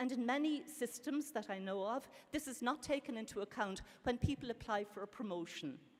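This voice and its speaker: A woman speaks with an Irish accent at a high pitch. Her intonation is lively and her pace fairly quick. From Ireland. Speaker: professor, panel speaker. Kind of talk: conference panel talk. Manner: fast.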